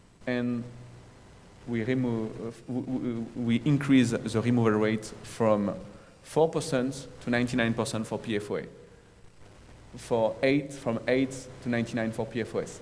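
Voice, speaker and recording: A man with a strong French accent speaks at a moderate pace and medium pitch, with fairly even intonation. Long, frequent pauses break his speech, and audible room echo can be heard. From France. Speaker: environmental remediation project manager. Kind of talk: conference presentation. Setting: conference room with audience, recorded. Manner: halting, with self-corrections.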